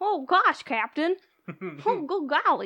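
Putting on a character voice, a woman speaks at a fairly slow pace and an extremely high pitch. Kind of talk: exaggerated, goofy. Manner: cartoony.

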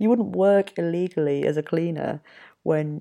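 Here a woman speaks with an English accent. Her pace is fairly slow. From Yorkshire, England. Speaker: podcast host. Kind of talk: solo casual monologue. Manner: hesitant, many ums and fillers.

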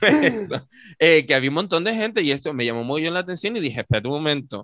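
A man's animated, bright, sharp voice at a fairly high pitch, with a fairly quick pace, very wide pitch swings and a dry, close sound with no echo. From Tenerife, Canary Islands. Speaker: podcast co-host. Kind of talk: casual chat.

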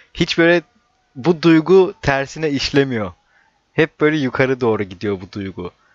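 Fairly slow delivery with big swings in loudness and very wide pitch swings. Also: man, fairly high pitch for a man. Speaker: stand-up comedian. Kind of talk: casual chat.

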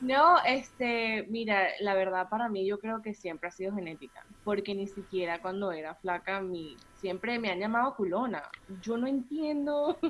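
The delivery has lively intonation at a moderate pace. It is an ordinary speaking voice. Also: woman, medium pitch for a woman. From Venezuela, Puerto la Cruz. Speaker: body positivity influencer. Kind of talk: interview.

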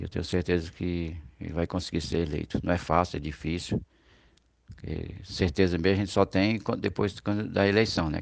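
A man talks at a very fast pace with a very deep, low pitch and vocal fry. His intonation is lively. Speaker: campaign supporter and cousin of a candidate. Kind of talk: campaign testimonial. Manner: halting, with repetitions.

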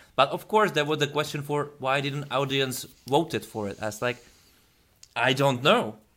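This man has a continental European accent. His pitch is fairly high. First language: not English. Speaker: YouTube interviewer. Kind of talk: interview.

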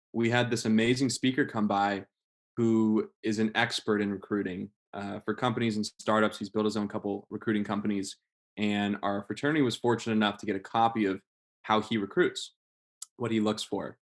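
A man with an American accent speaks in a normal speaking voice, fairly low and fairly quick, with fairly even intonation, recorded dry and close with no echo against a very clean, silent background. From Las Vegas, US West. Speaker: guest, student leader of a nonprofit. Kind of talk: casual interview. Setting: studio.

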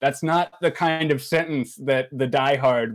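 In an American accent, a man with a plain, everyday voice speaks fairly slowly at a medium pitch. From Maryland, US. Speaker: podcast host. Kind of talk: casual chat.

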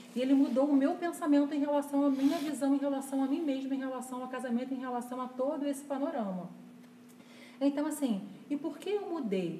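Over noticeable background noise and audible room echo, a woman talks at a fairly quick pace in a high pitch with ordinary pitch variation. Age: 40s. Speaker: church couples leader. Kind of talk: casual chat.

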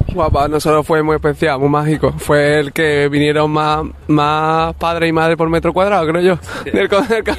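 A man's fairly high voice with very even loudness, fairly even intonation and a moderate pace, against noticeable background noise. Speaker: musician. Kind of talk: interview. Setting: outdoors in a city square. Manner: halting.

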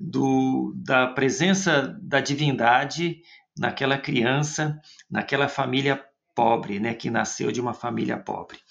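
With vocal fry and a fairly high pitch, a man speaks at a very slow pace. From Brazil, interior of São Paulo state. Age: 50s. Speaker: friar and theologian. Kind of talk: interview.

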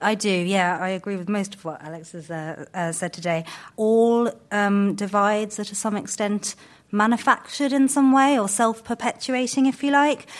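With an ordinary speaking voice, a woman at a medium pitch talks at a moderate pace with lively intonation and big swings in loudness, in a very clean recording with a silent background. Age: 30s. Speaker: think tank founder. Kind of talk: panel discussion. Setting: stage with audience.

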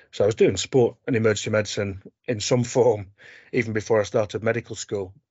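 A man's fairly low, somewhat breathy voice at a fairly quick pace. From Barnsley, South Yorkshire. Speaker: sports medicine doctor. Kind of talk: interview.

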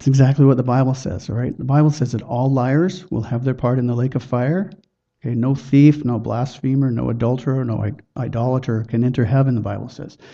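With a plain, everyday voice, a man talks at a fairly quick pace, his pitch medium and his intonation fairly even. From Chilliwack, British Columbia, Canada. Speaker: lay evangelist. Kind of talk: witnessing demonstration.

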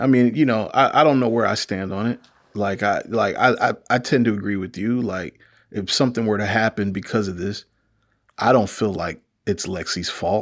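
A man with a normal speaking voice talks at a moderate pace and a medium pitch. His pitch variation is ordinary, and the recording is very clean with a silent background. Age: 40s. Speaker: podcast host and TV critic. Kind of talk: casual chat.

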